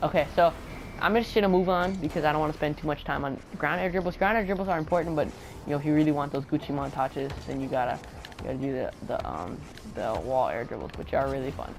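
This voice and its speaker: Very fast speech with music in the background. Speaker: gaming tutorial maker. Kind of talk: casual gameplay tutorial commentary. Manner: mumbling, hesitant with many fillers.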